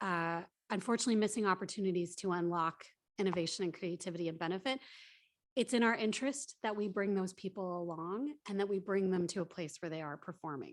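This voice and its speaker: The delivery moves at a very fast pace. Pitch variation is ordinary. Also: woman, medium pitch for a woman. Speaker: HR manager at statistics office. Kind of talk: workshop panel Q&A.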